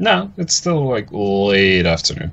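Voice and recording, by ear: This man's voice has a fairly bright tone and fairly low pitch, with vocal fry. He speaks at a slow pace with big pitch swings.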